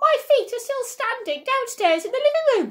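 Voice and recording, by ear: A put-on character voice, female-sounding and cackling, at an extremely high pitch and a moderate pace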